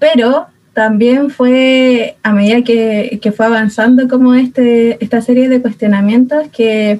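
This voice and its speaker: Speaking fairly slowly with a Chilean accent, a woman has a fairly high pitch, fairly even intonation and a dark, mellow tone. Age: 20s. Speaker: speech therapist and youth ministry member. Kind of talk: casual chat.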